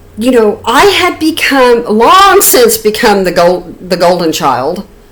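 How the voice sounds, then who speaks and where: Noticeable background noise sits behind a woman with a fairly high pitch and very wide pitch swings. She talks at a very slow pace with very even loudness. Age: 60s. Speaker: YouTuber. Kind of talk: personal storytelling. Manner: halting, many repeated words.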